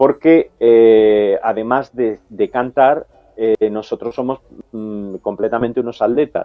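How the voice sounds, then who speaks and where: A man talks at a very slow pace with a medium pitch and fairly even intonation. Music plays in the background. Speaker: countertenor opera singer. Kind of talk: TV interview. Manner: halting.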